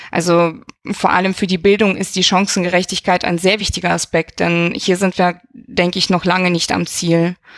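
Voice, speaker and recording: A woman speaks at a moderate pace with a slight non-native accent. Her medium-pitched voice stays flat and monotone, its loudness very even. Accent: slight foreign accent, improved over time. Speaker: university equal opportunities officer. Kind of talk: interview.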